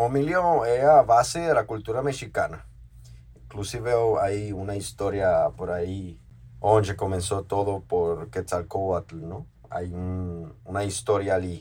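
A man speaks at a very slow pace with a fairly low pitch. His voice is somewhat breathy, with lively intonation. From Mexico, Oaxaca. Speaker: chef and restaurant owner. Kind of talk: interview. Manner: halting, with repetitions.

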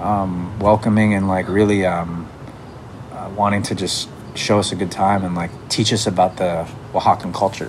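Against noticeable background noise, a man speaks at a fairly low pitch with fairly even intonation. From Canada. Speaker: musician. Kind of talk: casual chat. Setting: home.

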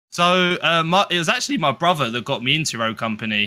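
In a very clean recording with a silent background, a man with a British accent speaks fairly quickly at a fairly high pitch, with a bright, sharp tone and lively intonation. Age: 20s. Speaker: gaming content creator. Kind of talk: interview.

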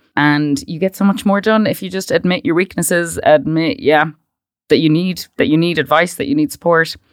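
In a western Irish accent, a woman with a fairly low voice speaks at a moderate pace with lively intonation, recorded very cleanly with a silent background. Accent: Irish (west of Ireland). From Ireland (Westport, County Mayo). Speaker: startup founder. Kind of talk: interview.

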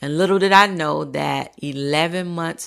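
An American-accented woman talks in an animated tone. Her pitch varies in an ordinary way. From US South, Central Florida. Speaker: podcast host and family caregiver. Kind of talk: solo podcast monologue.

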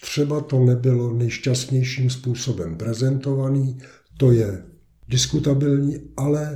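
Speaking at a very slow pace, a man with a dark, mellow tone and medium pitch sounds somewhat breathy, his pitch varying in an ordinary way. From Czech Republic, east of Prague. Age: 70s. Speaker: lawyer and local resident. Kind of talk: casual interview.

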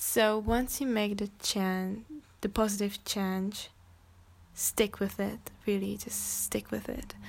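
A woman speaks with a Czech accent. Her pace is very slow. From Czech Republic. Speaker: podcast host. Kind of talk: solo monologue. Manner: halting.

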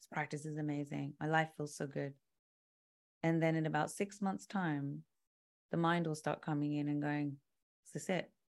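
A woman with a British accent speaks at a moderate pace with a very deep, low pitch and fairly even intonation, in a very clean recording with a silent background. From London, England. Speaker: musician and yoga instructor. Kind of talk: casual chat.

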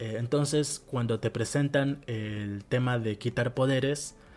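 This man has a Rioplatense accent and a medium pitch. He talks at a fairly slow pace with fairly even intonation while music plays in the background. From Argentina. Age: 20s. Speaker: podcast host. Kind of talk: solo podcast monologue. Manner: hesitant, many fillers.

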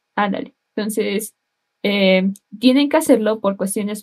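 At a fairly slow pace, a woman speaks in a plain, everyday voice. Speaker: civil engineering student. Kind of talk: casual chat.

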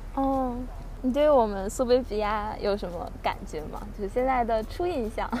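Amid audible room echo, a woman speaks at a high pitch and a moderate pace in a dark, mellow tone. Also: lively intonation. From Beijing, northern China. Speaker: podcast host. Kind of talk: casual chat.

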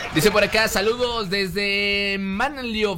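Over noticeable background noise, a man with a high pitch speaks in a raised, projected voice with an animated tone. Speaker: radio host. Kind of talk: casual radio talk show.

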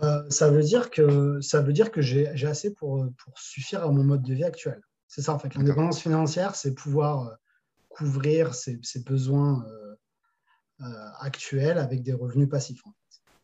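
A man's fairly high pitch in a dark, mellow, somewhat breathy tone, at a fairly slow pace with ordinary pitch variation and big swings in loudness. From France, Paris region and Toulouse. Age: 30s. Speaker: e-commerce entrepreneur. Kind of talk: casual interview. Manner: hesitant, many fillers.

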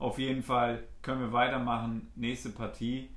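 A man at a medium pitch, at a very slow pace, with audible room echo. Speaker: football podcast co-host. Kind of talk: casual chat. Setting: studio, sitting across from co-host.

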